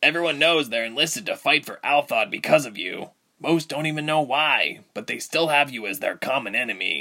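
A man puts on a character voice at a fairly high pitch. He moves at a fairly quick pace with lively intonation. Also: big swings in loudness. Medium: audio drama.

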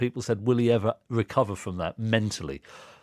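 A man at a very fast pace, ordinary pitch variation, dry, close sound with no echo. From Reading, southern England. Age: 40s. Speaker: podcast host, former table tennis player. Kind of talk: casual chat.

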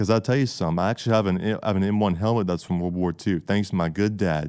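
On a very clean recording with a silent background, a man with a Southern US accent speaks in a fairly low, dark and mellow voice with ordinary pitch variation. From US South, Georgia. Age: 20s. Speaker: college student. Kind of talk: interview.

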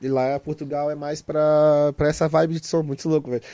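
A man's dark, mellow tone at a fairly quick pace. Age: 30s. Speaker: music producer. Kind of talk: casual chat.

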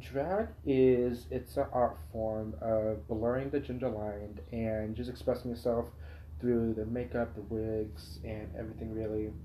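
Lively intonation and a dark, mellow tone come through at a fairly slow pace in an American accent, with audible room echo. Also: man, medium pitch for a man. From Poway, San Diego County, California. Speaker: drag performer, college student. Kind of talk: casual chat. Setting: at his home.

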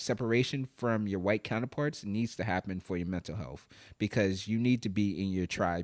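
A man talks in a fairly low voice. The recording is very clean with a silent background, and the sound is dry and close with no echo. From New York (Brooklyn). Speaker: podcaster. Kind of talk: casual interview.

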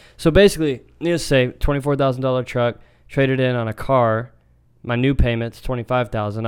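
A man speaks in a plain, everyday voice at medium pitch with fairly even intonation. The recording is very clean, the background silent. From Texas. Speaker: podcast co-host. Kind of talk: casual chat.

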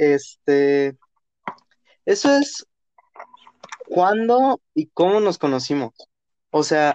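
In a dry, close sound with no echo, a man with a Mexican accent and a high voice speaks at a very slow pace with long, frequent pauses, very wide pitch swings and very even loudness. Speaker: podcast host. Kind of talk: casual chat. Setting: studio.

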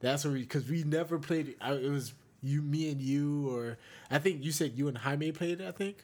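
At a moderate pace, a man with a fairly high pitch speaks in a very clean recording with a silent background. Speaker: podcast co-host. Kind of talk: casual chat, banter. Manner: animated, playful.

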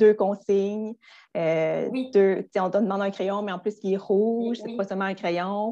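Her tone dark and mellow, a woman speaks at a fairly slow pace with fairly even intonation against a quiet background. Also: medium pitch for a woman. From Quebec, Gaspé. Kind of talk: educational interview. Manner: hesitant with fillers.

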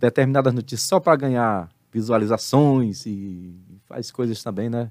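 A man with an ordinary speaking voice, medium pitch and ordinary pitch variation, at a fairly slow pace, in a very clean recording with a silent background. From Brazil, Salvador, Bahia. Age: 50s. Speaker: pastor and theology teacher. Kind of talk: casual interview on a live stream.

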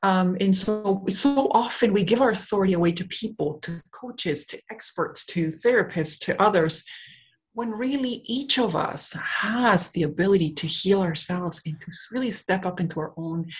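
In a Canadian accent, a woman speaks at a moderate pace and a medium pitch. Her voice is somewhat breathy. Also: ordinary pitch variation. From Canada, raised in Whitby, Ontario (born in Peru). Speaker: wellness centre co-owner and coach. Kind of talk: interview. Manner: hesitant, many fillers.

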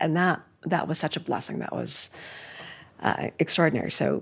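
A woman with an American accent and an ordinary speaking voice, fairly low in pitch with fairly even intonation, on a very clean recording with a silent background. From US Northeast, New York City (Manhattan). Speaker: art history professor and author. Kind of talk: casual interview conversation. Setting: in person in New York.

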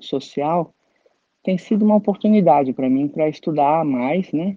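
A woman speaks at a very deep, low pitch. Her pace is moderate, with ordinary pitch variation. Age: 60s. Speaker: flutist and composer. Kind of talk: interview testimony.

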